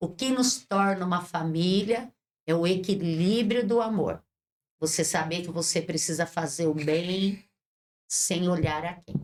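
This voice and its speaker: A woman speaks at a fairly slow pace in a fairly low voice with ordinary pitch variation. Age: 60s. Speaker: bishop and social project leader. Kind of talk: interview. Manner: impassioned, preacher-like.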